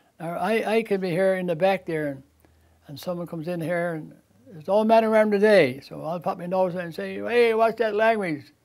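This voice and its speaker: Talking at a fairly quick pace, a man with a Newfoundland accent has a high pitch, ordinary pitch variation, and big swings in loudness. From Newfoundland, Canada (Bell Island). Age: 80s+. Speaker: store owner. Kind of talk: interview.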